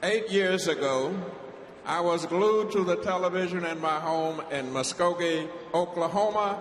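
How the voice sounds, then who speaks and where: Noticeable background noise sits behind a man with a high pitch. He talks at a fairly slow pace with fairly even intonation. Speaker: war veteran. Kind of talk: convention speech. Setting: convention floor.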